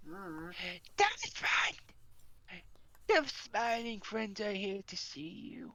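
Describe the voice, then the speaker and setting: A put-on character voice sounds female, pitched fairly high for a woman. It moves at a very slow pace with long, frequent pauses. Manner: cheery, announcing.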